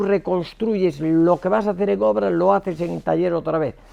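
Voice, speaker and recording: Speaking at a moderate pace, a man uses a high pitch with lively intonation. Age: 70s. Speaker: structural engineer. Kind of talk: lecture. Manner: hesitant, many repetitions and fillers; casual, colloquial.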